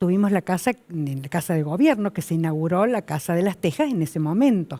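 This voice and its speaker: A woman speaks at a fairly quick pace with a fairly low pitch, a dark, mellow tone and lively intonation. The recording is very clean, with a silent background. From Argentina, Córdoba. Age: 70s. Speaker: daughter of a former governor. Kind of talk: interview.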